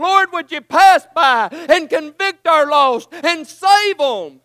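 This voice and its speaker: A man speaks in a raised, projected voice at an extremely high pitch. His pace is fairly slow. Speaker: preacher. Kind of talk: fervent prayer and pleading near the close of a sermon. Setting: church. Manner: impassioned, urgent, pleading; hoarse, strained delivery.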